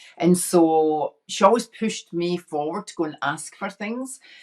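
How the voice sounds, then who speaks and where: A woman's fairly low voice with a Scottish accent and ordinary pitch variation. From Scotland, inner city Glasgow. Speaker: women's empowerment coach. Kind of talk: casual chat.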